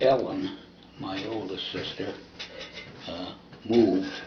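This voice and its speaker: An American accent with audible room echo and noticeable background noise. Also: man. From US Midwest, Toledo, Ohio. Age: 80s+. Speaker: oral history interviewee. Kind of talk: oral history testimony.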